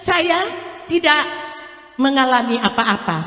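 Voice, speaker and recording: Noticeable background noise accompanies a woman with a high voice. She talks at a very slow pace with ordinary pitch variation. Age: 60s. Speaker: multi-level marketing sales leader. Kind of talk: product presentation.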